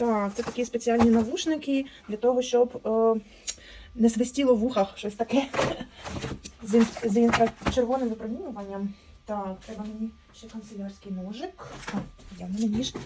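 A woman talks at a moderate pace with fairly high pitch, ordinary pitch variation, big swings in loudness, and long, frequent pauses. Noticeable background noise runs under her voice. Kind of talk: ASMR unboxing, casual talk. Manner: normal speaking voice, not whispered.

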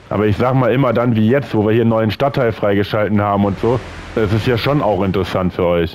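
Speaking at a very fast pace, a man with a fairly low pitch keeps his intonation fairly even and his loudness very even. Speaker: gaming video creator. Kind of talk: let's play commentary. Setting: home recording.

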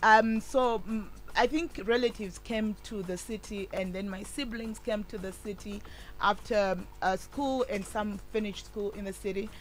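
Faint music plays in the background. A woman with a Zimbabwean accent speaks at a medium pitch with fairly even intonation. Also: moderate pace. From Zimbabwe, Chegutu area. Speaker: women's rights activist; radio guest. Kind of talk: radio interview. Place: studio. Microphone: studio mic.

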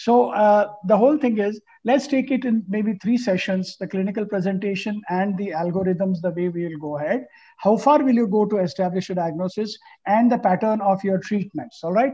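Over a quiet background, a man with a high pitch and a dark, mellow tone speaks at a moderate pace with ordinary pitch variation. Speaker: panel moderator. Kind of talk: panel discussion, case presentation. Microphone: video call.

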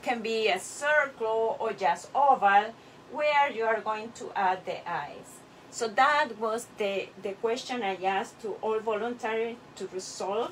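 A woman's very slow speech with ordinary pitch variation and light background noise. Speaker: clay artist teacher. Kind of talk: tutorial. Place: workshop. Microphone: camera far.

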